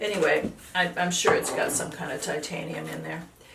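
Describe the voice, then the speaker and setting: At a moderate pace, a woman speaks over noticeable background noise with audible room echo. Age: 70s. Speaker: painter. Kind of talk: casual tutorial. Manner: halting.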